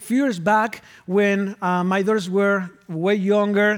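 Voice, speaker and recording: A man speaks at a fairly slow pace with a high pitch and a Spanish accent. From Argentina. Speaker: pastor. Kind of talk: sermon. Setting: church.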